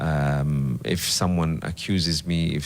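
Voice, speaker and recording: A man talks with a very deep, low pitch and fairly even intonation. Noticeable background noise is present. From Kenya, Mombasa. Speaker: politician. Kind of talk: interview. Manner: soft-spoken; hesitant.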